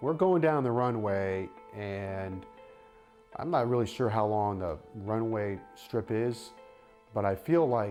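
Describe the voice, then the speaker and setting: With music in the background, a man speaks at a very slow pace with long, frequent pauses. His pitch is fairly low and his intonation lively. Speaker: radio sports broadcaster. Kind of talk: interview answer, recounting a personal story.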